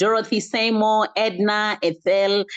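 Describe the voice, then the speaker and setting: Against a quiet background, a woman speaks at a fairly high pitch. She has a Kenyan accent. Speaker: online wellness community host. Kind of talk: closing remarks and thanks to attendees. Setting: video call.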